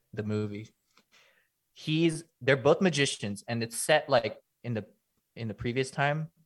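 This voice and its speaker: On a very clean recording with a silent background, a man with a Californian accent speaks at medium pitch and a fairly slow pace, using ordinary pitch variation and long, frequent pauses. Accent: California English. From Los Angeles, US. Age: 20s. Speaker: content creator. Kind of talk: casual chat.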